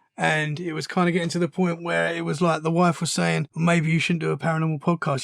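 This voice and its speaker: A man with a British accent, fairly high-pitched and fairly even in intonation, at a fairly quick pace, with a dry, close sound and no echo. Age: 30s. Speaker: podcaster, guest. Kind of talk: casual interview chat.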